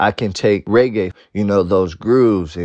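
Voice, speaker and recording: Fairly slow and fairly low in pitch, a man talks with ordinary pitch variation. His is a plain, everyday voice. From Oakland, California. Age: 20s. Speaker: dance crew director. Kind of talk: interview.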